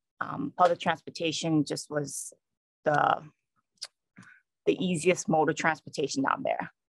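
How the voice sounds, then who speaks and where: A woman with a strong New York accent, a very deep, low pitch and ordinary pitch variation, at a fairly slow pace with long, frequent pauses, in a dry, close sound with no echo. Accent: New York, still strong. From New York City. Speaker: state police trooper. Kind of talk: conference talk.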